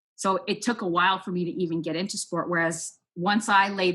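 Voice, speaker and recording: In a Toronto accent, a woman speaks at a fairly low pitch on a very clean recording with a silent background. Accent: Scarborough Toronto speech. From Canada, Scarborough, Ontario. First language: Spanish. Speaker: sports nonprofit program manager. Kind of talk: interview.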